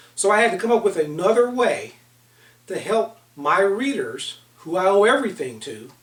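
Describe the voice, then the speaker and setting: The voice is loud. Its intonation is lively. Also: man. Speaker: author and leadership consultant. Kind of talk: online book seminar talk.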